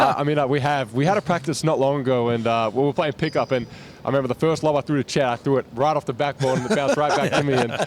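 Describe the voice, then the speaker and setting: At a very fast pace, a man talks at a fairly high pitch with ordinary variation and very even loudness. Noticeable background noise sits behind him. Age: 20s. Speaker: basketball player. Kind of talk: press interview. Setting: media day interview station.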